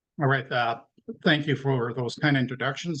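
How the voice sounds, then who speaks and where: Fairly even intonation and a bright, sharp tone mark this man's voice as he speaks at a fairly quick pace. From Quebec / French Canada. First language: French. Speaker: academic researcher. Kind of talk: lecture.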